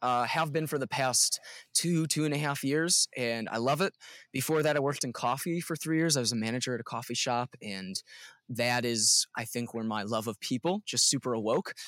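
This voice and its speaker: A man with a plain, everyday voice and a medium pitch talks at a moderate pace with ordinary pitch variation, in a dry, close sound with no echo on a very clean recording with a silent background. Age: 20s. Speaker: worship leader. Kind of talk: casual chat.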